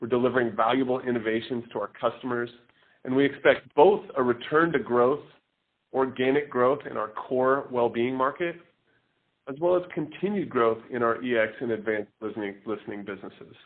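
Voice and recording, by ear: A man talks at a fairly quick pace, with medium pitch and ordinary pitch variation.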